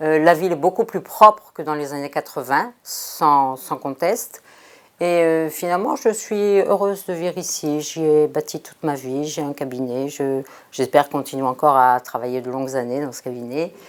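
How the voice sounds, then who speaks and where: With a very deep, low pitch and ordinary pitch variation, a woman speaks at a moderate pace, her loudness swinging widely. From France. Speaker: doctor. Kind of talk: interview testimony. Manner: hesitant, many fillers.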